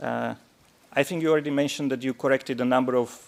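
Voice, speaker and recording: This man has a non-native accent. He talks at a fairly quick pace with monotone, flat intonation. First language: not English. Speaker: defence counsel cross-examining witnesses. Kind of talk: courtroom cross-examination. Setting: courtroom.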